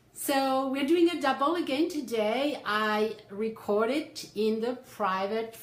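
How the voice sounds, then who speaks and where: A woman at a very slow pace, ordinary pitch variation, audible room echo around her. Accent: French. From France. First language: French. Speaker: psychotherapist and life coach. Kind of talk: livestream talk. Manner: animated.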